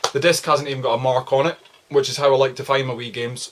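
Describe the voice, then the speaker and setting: A man speaks at a fairly high pitch with an Aberdeenshire accent. Noticeable background noise is present. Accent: Scottish (Aberdeenshire). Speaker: video game collector YouTuber. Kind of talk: casual vlog. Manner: fast; casual, filler-heavy.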